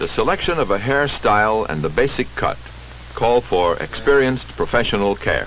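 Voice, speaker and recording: The speaker is a man talking at a moderate pace. Noticeable background noise runs under his voice. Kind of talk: instructional film narration.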